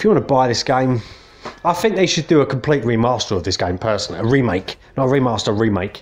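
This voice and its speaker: The speech moves at a very fast pace with lively intonation. Noticeable background noise runs underneath. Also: man, medium pitch for a man. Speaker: gaming youtuber. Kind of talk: casual video game review. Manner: hesitant, many fillers.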